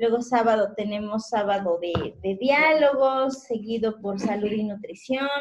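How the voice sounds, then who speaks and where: A woman's speech, with ordinary pitch variation at a fairly slow pace, sits against a quiet background. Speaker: radio show host. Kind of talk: casual radio talk listing program schedule. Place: studio.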